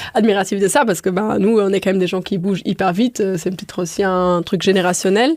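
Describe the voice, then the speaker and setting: Barely pausing, a woman races along at a very fast pace at a medium pitch with ordinary pitch variation. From Luxembourg, countryside. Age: 20s. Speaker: restaurant co-owner. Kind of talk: interview conversation. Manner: hesitant, many fillers.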